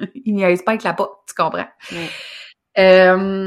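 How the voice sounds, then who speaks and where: In a very clean recording with a silent background, a woman talks at a medium pitch and a fairly slow pace. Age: 30s. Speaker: business coach. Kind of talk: casual chat.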